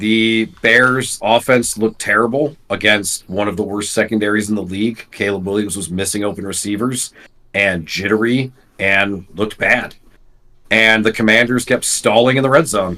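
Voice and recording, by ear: A man's voice with a bright, sharp tone, fairly even intonation and a moderate pace. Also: fairly low pitch for a man.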